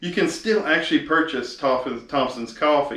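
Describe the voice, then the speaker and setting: A man is speaking. He talks with an East Texas accent. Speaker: video host. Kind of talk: casual talk to camera. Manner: hesitant, filler-heavy.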